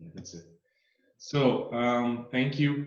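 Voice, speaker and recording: Speaking in a Brazilian Portuguese accent, a man holds a medium pitch. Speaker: horror channel host. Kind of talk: interview. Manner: halting, non-native English.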